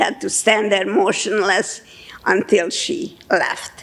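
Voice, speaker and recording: Noticeable background noise sits behind the speech. A woman talks at a fairly slow pace and a fairly high pitch. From Budapest, Hungary. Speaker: Holocaust survivor. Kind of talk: testimony talk to an audience.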